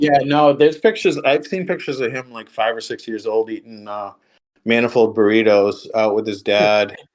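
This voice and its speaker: Over a quiet background, a man at a medium pitch talks at a moderate pace with ordinary pitch variation and big swings in loudness. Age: 50s. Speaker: off-road enthusiast. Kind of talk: casual chat. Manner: halting.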